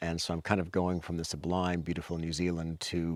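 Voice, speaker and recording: Very deep and low in pitch, a man with a Canadian accent talks at a fairly quick pace. The recording is very clean, with a silent background and a dry, close sound with no echo. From Canada. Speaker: endurance cyclist. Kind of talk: interview.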